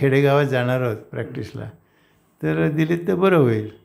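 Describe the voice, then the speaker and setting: A man speaks at a medium pitch. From Maharashtra, India. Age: 80s+. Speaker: doctor. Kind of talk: interview answer. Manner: soft-spoken.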